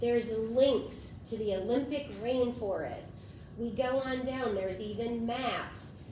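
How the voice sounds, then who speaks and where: A woman's fairly high voice at a very slow pace, fairly even in intonation, with audible room echo and noticeable background noise. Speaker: teacher giving a conference session. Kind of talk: conference presentation.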